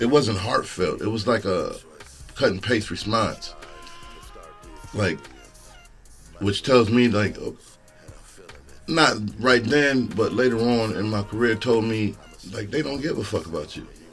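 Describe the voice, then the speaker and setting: Over music in the background, a man speaks fairly slowly with long, frequent pauses and ordinary pitch variation. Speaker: stand-up comedian. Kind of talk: casual podcast talk.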